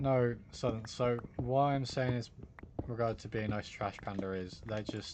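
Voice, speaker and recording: A man speaks at a very slow pace with a British accent. His intonation stays fairly even. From Britain. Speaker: gaming streamer. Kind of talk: live stream chat.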